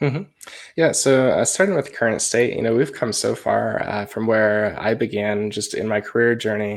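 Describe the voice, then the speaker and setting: With a Midwestern American accent, a man talks at a moderate pace. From US Midwest, rural Iowa. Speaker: tech trainer and author. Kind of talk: interview.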